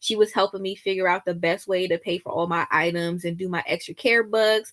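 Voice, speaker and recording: A woman with an American accent, medium pitch and ordinary pitch variation, at a fairly quick pace, with a dry, close sound and no echo. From US East Coast. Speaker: couponing vlogger, navy veteran. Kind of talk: casual livestream chat. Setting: live stream at home, late evening.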